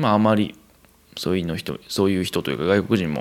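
Talking at a very fast pace in a Kansai accent, a man uses a very deep, low pitch with vocal fry. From Kansai, Japan. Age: 20s. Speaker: podcast host, expatriate worker. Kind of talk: solo casual monologue.

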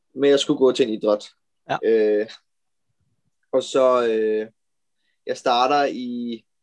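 At a very slow pace, a man talks with fairly even intonation at a medium pitch. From Denmark, Amager (Copenhagen). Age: 20s. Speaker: professional road cyclist. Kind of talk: interview. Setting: video call.

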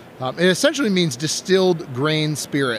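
A man's fairly high voice in an American accent, moderate in pace with ordinary pitch variation, over noticeable background noise. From Wisconsin. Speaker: game designer and art school director. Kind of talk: casual interview. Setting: live at a game convention.

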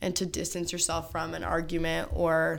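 A woman talks at a moderate pace. Room echo can be heard around her voice. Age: 20s. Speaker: podcast host. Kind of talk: casual chat.

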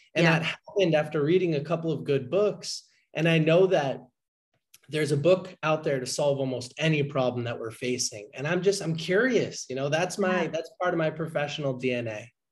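Talking at a moderate pace with an American accent, a man uses an ordinary speaking voice, fairly high in pitch, with ordinary pitch variation. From Boston, Massachusetts. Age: 20s. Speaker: book podcaster and entrepreneur. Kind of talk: interview chat.

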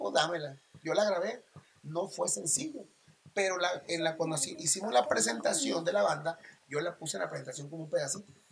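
A man's high-pitched voice with lively intonation at a fairly quick pace, over noticeable background noise. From Mazatlán, Sinaloa, Mexico. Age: 40s. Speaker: regional Mexican singer. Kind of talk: casual interview chat.

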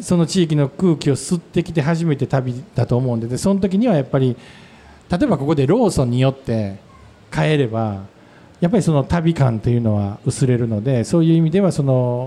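Fairly quick, lively speech in a Kansai accent. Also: man, fairly high pitch for a man. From Wakayama, Japan. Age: 50s. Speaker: restaurant owner. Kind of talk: casual chat. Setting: public recording with audience.

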